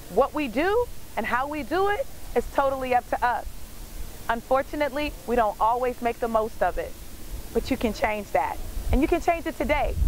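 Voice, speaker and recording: The voice moves at a moderate pace with very wide pitch swings and long, frequent pauses. The sound is dry with no echo, with light background noise. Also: woman, high pitch for a woman. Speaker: motivational speaker. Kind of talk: motivational speech to camera. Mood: warm, uplifting. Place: waterside.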